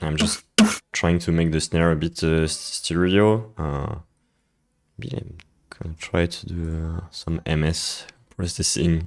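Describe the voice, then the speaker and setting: A man's very deep, low voice, fairly slow and fairly even in intonation, broken by long, frequent pauses. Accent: French. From France. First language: French. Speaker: music producer streamer. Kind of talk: live stream tutorial. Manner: halting, many fillers.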